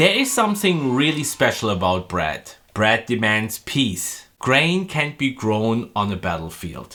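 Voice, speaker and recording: A man talks at a fairly slow pace and medium pitch, with very wide pitch swings. His tone is bright and sharp, with hardly any pauses. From Europe, not Canada. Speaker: farm bakery owner and video maker. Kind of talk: documentary narration and interviews.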